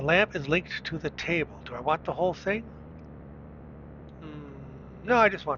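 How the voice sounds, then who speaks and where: Over noticeable background noise, a man speaks at a moderate pace with big swings in loudness and long, frequent pauses. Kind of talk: screen-recorded tutorial narration.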